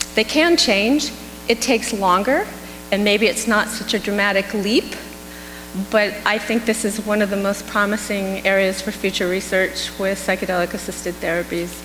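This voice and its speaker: Against noticeable background noise and audible room echo, a woman speaks in an American accent. Her pace is moderate, with a medium pitch and ordinary pitch variation. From California. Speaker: psychedelics clinical researcher. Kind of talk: conference Q&A.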